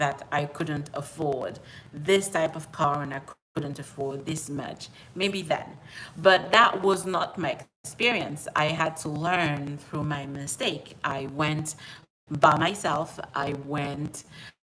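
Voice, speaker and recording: A woman with a French accent speaks at a very slow pace in a very deep, low pitch. Her tone is bright and sharp, with ordinary pitch variation. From outside the US, French-speaking. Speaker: personal finance YouTuber. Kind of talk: live stream monologue. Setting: at home. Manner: repetitive, conversational.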